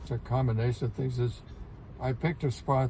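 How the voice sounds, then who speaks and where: A man speaks at a fairly quick clip in a dark, mellow tone. His voice is somewhat breathy. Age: 90s. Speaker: retired bird photographer. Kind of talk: interview. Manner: halting, repeats words.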